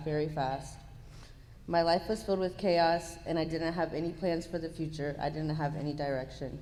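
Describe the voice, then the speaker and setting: Monotone, flat intonation at a fairly quick pace, with audible room echo. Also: woman. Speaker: program participant giving testimony. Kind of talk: testimony.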